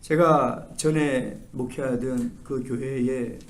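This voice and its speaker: A man is speaking. Some room echo can be heard. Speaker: pastor. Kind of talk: sermon. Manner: animated.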